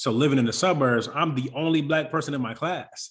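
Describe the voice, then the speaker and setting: The speaker is a man. Ordinary variation shows in his pitch. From Congo, raised from age 8 in Irving, Texas. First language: French. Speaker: author and athlete advocate. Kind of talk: interview. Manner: animated.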